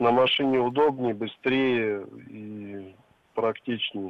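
A man with a medium-pitched voice and ordinary pitch variation speaks at a very slow pace. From Siberia, Russia (Novosibirsk). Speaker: caller. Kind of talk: phone-in comment. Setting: phone call. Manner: halting, many fillers.

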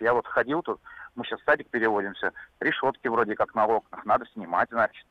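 A man talks at a fairly quick pace in a plain, everyday voice. His pitch is medium and his intonation lively. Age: 30s. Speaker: caller. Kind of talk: radio call-in.

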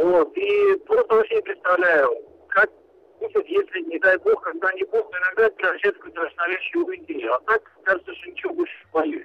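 A man's extremely high-pitched voice with very wide pitch swings at a fairly quick pace. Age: middle-aged. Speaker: radio phone-in caller. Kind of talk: phone-in call.

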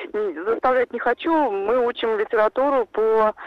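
Her fairly high voice, a woman's, rises and falls in very wide pitch swings. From Saransk, Russia. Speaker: caller, mother. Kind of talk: call-in question. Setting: phone call.

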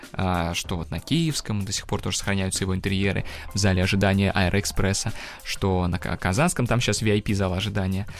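Over noticeable background noise, a man with a fairly low pitch talks at a fairly quick pace with ordinary pitch variation. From Russia, Kazan. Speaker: engineer and tour guide. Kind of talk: educational radio interview.

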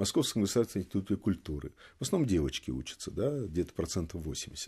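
A man speaks in a fairly low voice with a dark, mellow tone, his pitch swinging very widely. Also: very clean recording, silent background. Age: 70s. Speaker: retired general and former intelligence analyst. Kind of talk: studio interview. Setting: studio.

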